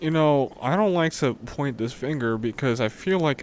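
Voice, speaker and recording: Using a plain, everyday voice, a man with an American accent speaks at a moderate pace with ordinary pitch variation. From New York City (Brooklyn, Queens). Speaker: streamer reacting to videos. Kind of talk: casual live-stream commentary. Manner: casual, interjecting. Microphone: new mic, testing levels.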